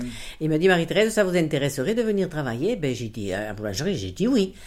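The speech races along at a very fast pace with hardly any pauses. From southern France, Aude. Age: 70s. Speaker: retired tannery worker. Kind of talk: interview testimony. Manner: halting.

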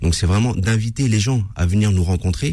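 Somewhat breathy, a man talks at a fairly quick pace in a dark, mellow tone with ordinary pitch variation. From France, Paris suburbs (Seine-et-Marne). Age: 40s. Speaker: mosque association president. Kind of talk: radio interview. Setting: radio studio.

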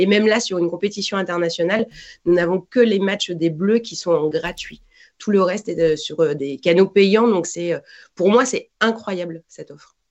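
A woman with an unremarkable speaking voice talks at a fairly slow pace and a medium pitch. Her pitch varies in an ordinary way, but her loudness swings a lot. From France. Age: 40s. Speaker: football commentator. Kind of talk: casual interview.

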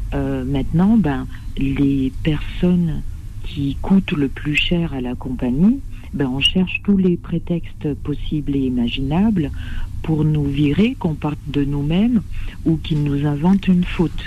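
A woman with a very deep, low pitch speaks at a very slow pace with ordinary pitch variation. Audible room echo and noticeable background noise fill the recording. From French Caribbean. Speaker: flight attendant. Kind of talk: phone-in call.

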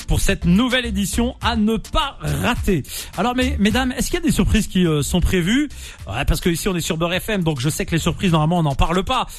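Keeping a very even loudness, a man speaks at a fairly quick pace. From France, Nantes, of Algerian descent. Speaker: radio host. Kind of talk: radio interview. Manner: animated.

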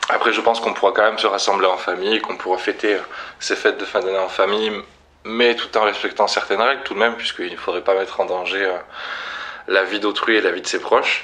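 Very fast and monotone, a man talks with flat intonation at a fairly low pitch. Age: 20s. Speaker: shop manager. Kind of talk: interview. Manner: halting, repeats words.

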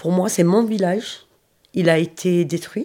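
Her tone is dark and mellow, set at a medium pitch. The woman keeps a fairly even intonation. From southeastern France, Roya valley (Alpes-Maritimes). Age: 40s. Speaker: school cleaning agent and trained nurse's aide. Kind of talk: testimony. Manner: halting, with hesitations.

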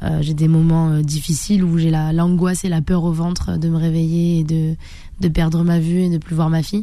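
A woman speaks at a moderate pace in a fairly low pitch, her loudness very even. Her intonation is monotone and flat, with audible room echo. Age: 30s. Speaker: karate champion and bodybuilder. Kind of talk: radio interview.

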